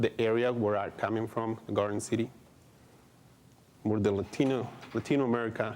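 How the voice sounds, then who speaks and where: A man with a Mexican accent talks at a fairly quick pace and a medium pitch, with monotone, flat intonation. His speech has long, frequent pauses. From Mexico. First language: Spanish. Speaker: adult education director. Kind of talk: conference presentation. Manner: halting, many fillers.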